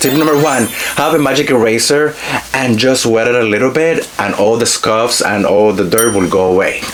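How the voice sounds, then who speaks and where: A man with a Spanish accent talks at medium pitch and very even loudness. Noticeable background noise and audible room echo are present. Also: ordinary pitch variation, moderate pace. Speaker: fashion influencer. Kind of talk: product review haul. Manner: animated.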